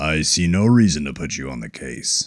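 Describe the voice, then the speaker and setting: In a put-on character voice, a man uses a raspy, very deep, low pitch and lively intonation. His loudness swings widely, and his pace is moderate. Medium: read story. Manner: terse, authoritative.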